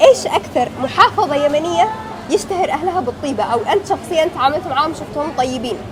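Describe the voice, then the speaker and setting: A woman's high voice with lively intonation at a moderate pace, music playing in the background. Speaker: street interviewer, YouTuber. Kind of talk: vox pop interview; vlog intro to camera.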